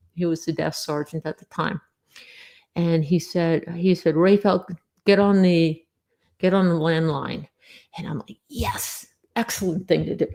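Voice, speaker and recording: With an American accent and a dark, mellow tone, the speaker goes at a fairly slow pace with fairly even intonation, big swings in loudness and long, frequent pauses. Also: woman, fairly low pitch for a woman. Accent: Long Island accent, lighter than it once was. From US Northeast, Long Island, New York. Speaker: former air force security police, UFO witness. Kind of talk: interview testimony.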